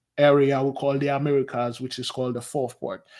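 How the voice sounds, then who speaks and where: A man with a Haitian accent speaks at a fairly high pitch in a very clean recording against a silent background. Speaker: spiritual advisor. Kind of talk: interview.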